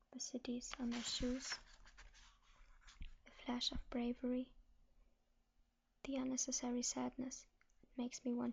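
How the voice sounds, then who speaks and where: A soft-spoken woman whispering at a fairly slow pace. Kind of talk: ASMR book reading. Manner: soft-spoken, whispered.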